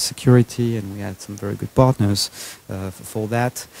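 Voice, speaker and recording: In a French accent, a man talks at a fairly low pitch with monotone, flat intonation, the sound dry with no echo. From France. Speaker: entrepreneur; guest. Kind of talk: fireside chat interview. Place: hall. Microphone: handheld.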